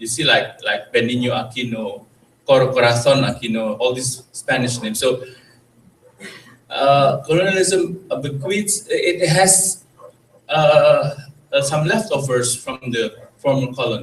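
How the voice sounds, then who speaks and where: With an Indonesian accent, a man speaks at a fairly slow pace and fairly high pitch, leaving long, frequent pauses as audible room echo surrounds him. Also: lively intonation. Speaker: presenter at cultural event. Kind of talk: lecture. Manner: halting.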